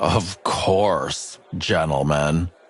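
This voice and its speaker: A man puts on a character voice. It sits very deep and low in pitch. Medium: game stream.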